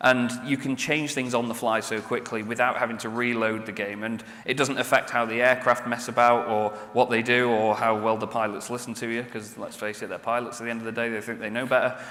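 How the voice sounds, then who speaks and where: With noticeable background noise and audible room echo, a man at a medium pitch talks with hardly any pauses. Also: fairly quick pace. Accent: British. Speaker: game presenter at an expo. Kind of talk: expo stage presentation. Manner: animated.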